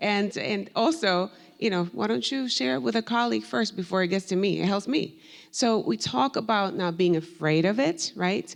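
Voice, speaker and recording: Vocal fry at a moderate pace, with very wide pitch swings and very even loudness. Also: woman, medium pitch for a woman. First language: Spanish. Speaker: professor. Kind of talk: panel discussion.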